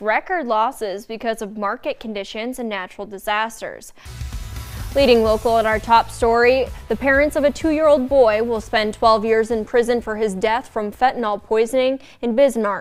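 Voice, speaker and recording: With music in the background, a woman with a fairly high pitch talks at a moderate pace with fairly even intonation. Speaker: TV news anchor. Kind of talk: TV news read. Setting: studio. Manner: authoritative, inflected.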